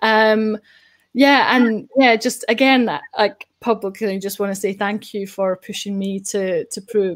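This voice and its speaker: A woman speaks in a Scottish accent at a fairly high pitch. Her intonation stays fairly even. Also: fairly slow pace. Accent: Scottish, kept. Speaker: data show host. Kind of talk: casual interview chat. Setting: live online show.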